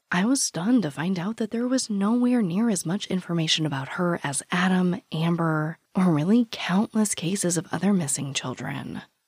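A woman's fairly low, somewhat breathy voice with lively intonation, a moderate pace and hardly any pauses, in a dry, close sound with no echo. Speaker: true crime podcast host. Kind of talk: true crime narration; casual chat.

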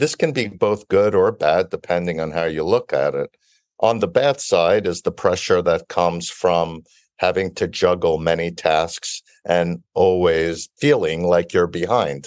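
A man with an American accent speaks at a fairly slow pace. The recording is very clean, with a silent background and a dry, close sound with no echo. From Brooklyn, New York. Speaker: biotech company founder and CEO. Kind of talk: interview.

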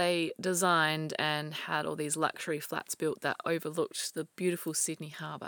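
At a moderate pace, a woman with an Australian accent speaks in a bright, sharp tone with ordinary pitch variation, in a dry, close sound with no echo and a very clean recording with a silent background. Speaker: true crime podcast co-host. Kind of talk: storytelling in casual chat.

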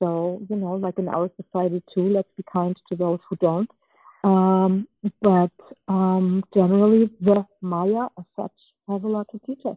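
Speaking at a fairly slow pace, a woman holds a medium pitch with monotone, flat intonation while her loudness swings widely. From Germany, born in Czechoslovakia. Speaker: anthropologist and author. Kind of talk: interview. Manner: halting.

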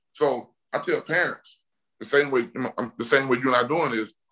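A man's fairly high-pitched voice at a moderate pace. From US South, Mobile, Alabama. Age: 40s. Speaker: retired NFL offensive lineman. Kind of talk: casual interview. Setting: video call.

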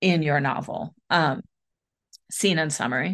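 Against a quiet background, a woman with an American accent talks at a fairly slow pace in an unremarkable speaking voice, her intonation fairly even. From US Midwest, western Michigan. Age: 40s. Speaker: author, editor and book coach. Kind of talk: interview.

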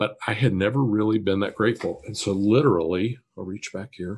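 In an ordinary speaking voice, a man with an American accent talks at a moderate pace, fairly low in pitch with ordinary pitch variation, over a quiet background. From Kansas, US Midwest. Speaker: business consultant, author. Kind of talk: interview.

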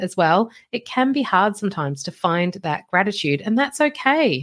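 A woman's voice, very cleanly recorded against total silence. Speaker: manifestation coach and podcast host. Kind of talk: solo coaching talk on a live stream. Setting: live Facebook stream.

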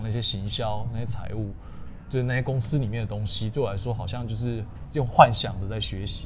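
Amid audible room echo, a man at medium pitch speaks at a very fast pace with fairly even intonation. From southern Taiwan, Tainan. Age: 30s. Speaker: finance manager, YouTuber. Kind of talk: interview. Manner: casual, code-switching with English terms.

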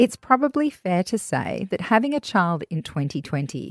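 The woman's pitch swings very widely as she speaks at a moderate pace, in a dry, close sound with no echo. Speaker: podcast host. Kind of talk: interview.

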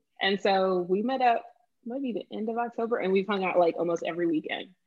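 A woman's plain, everyday voice with an American accent, medium pitch, ordinary pitch variation and a moderate pace. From Boston, Massachusetts. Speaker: freelance food writer. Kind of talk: casual chat.

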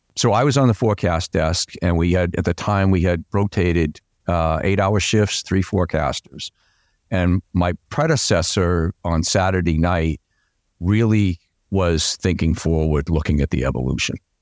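A man with a Boston accent and a very deep, low pitch speaks at very even loudness, in a dry, close sound with no echo on a very clean recording with a silent background. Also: ordinary pitch variation, moderate pace. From Boston, Massachusetts. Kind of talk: interview explaining storm science.

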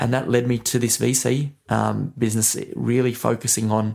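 The speaker is a man with an Australian accent. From Australia, New South Wales. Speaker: gambling entrepreneur. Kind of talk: interview. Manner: halting, with fillers.

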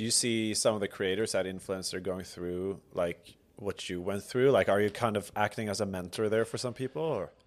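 With a Swedish accent, a man speaks at a moderate pace with hardly any pauses, a fairly low pitch and ordinary pitch variation, in a very clean recording with a silent background. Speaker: podcast host. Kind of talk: casual interview chat.

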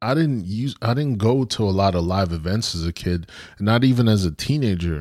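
In an ordinary speaking voice, a man talks at a moderate pace with lively intonation on a very clean recording with a silent background. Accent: American. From US Northeast (Brooklyn, New York). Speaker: podcast co-host. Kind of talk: casual chat.

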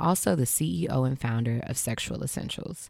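Her intonation is lively, and the sound is dry and close with no echo. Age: 30s. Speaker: podcast host and sex educator. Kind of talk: scripted ad read.

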